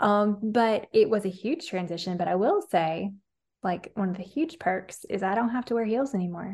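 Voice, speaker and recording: A woman talks at a fairly quick pace with a Southern US accent. Her fairly high pitch shows ordinary variation against a quiet background. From Alabama, US South. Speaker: nutrition coach. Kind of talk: casual interview chat.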